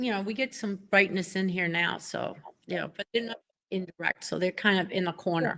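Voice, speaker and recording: A woman's medium-pitched, bright, sharp voice with a Boston accent, fairly quick and fairly even in intonation, in a dry, close sound with no echo. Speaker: pen collector. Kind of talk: casual chat.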